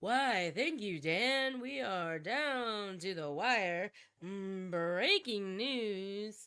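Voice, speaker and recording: In a put-on character voice, a female-sounding speaker talks at a very slow pace with a medium pitch for a woman. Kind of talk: polished broadcast delivery. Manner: urgent, dramatic.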